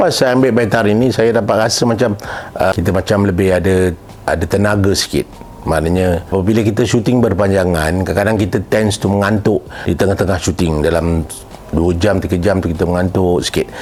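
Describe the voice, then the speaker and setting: A man talks at a fairly quick pace and fairly low pitch with ordinary pitch variation. His loudness stays very even despite noticeable background noise. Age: 60s. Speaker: drama and film director. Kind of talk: product testimonial. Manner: casual conversational.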